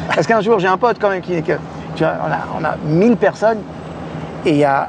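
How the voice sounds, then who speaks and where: A man talks with a high pitch. His pitch varies in an ordinary way over noticeable background noise. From Normandy, France. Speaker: life coach. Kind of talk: casual interview. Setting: in a car. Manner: animated.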